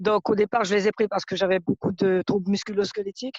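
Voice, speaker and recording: The woman has an unremarkable speaking voice, with a medium pitch, a fairly quick pace and a dry, close sound with no echo. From French Guiana. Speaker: customer giving testimonial. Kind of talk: testimony.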